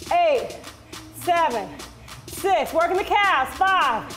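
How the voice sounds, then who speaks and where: Over music in the background, a woman speaks at an extremely high pitch. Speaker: fitness instructor. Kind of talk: workout class cueing and counting. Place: gym. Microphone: headset.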